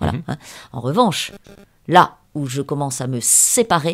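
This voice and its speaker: A woman at a fairly slow pace. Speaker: novelist. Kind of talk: interview. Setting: at her home. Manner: hesitant, many fillers.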